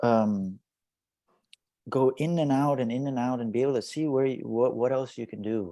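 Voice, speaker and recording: Soft-spoken and at medium pitch, a man with a dark, mellow tone talks at a moderate pace with ordinary pitch variation and long, frequent pauses against a quiet background. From Indian (Bunt community, Tulu-speaking). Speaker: actor and social media influencer. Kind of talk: interview. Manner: halting, repeats words.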